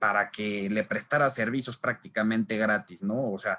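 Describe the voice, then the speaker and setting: With a bright, sharp tone, a man talks at a moderate pace and ordinary pitch variation. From Mexico City. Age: 20s. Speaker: labor lawyer and law lecturer. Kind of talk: online lecture. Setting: live online class with chat. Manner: casual with frequent fillers.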